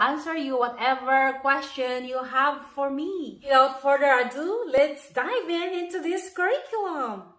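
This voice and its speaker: High-pitched woman's voice with a Filipino accent, bright and sharp in tone, with ordinary pitch variation. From Philippines. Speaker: homeschooling parent and video blogger. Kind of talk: curriculum review video. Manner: casual, friendly.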